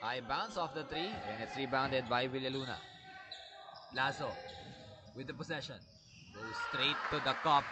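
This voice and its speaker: A man speaks with ordinary pitch variation, leaving long, frequent pauses. Noticeable background noise is present. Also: medium pitch for a man, moderate pace. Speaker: basketball commentator. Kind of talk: live sports commentary. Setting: courtside at a sports venue, live. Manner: excited, animated, with laughs.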